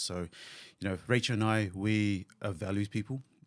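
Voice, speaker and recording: This man speaks with a New Zealand accent and fairly even intonation. The recording is very clean, with a silent background. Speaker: physiotherapist and clinic owner. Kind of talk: podcast interview.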